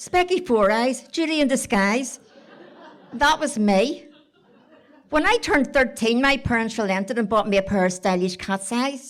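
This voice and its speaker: A woman's high voice in a Belfast accent, animated in tone, with lively intonation at a moderate pace. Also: very even loudness. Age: 70s. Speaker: storyteller. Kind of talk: storytelling to live audience. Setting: stage with audience.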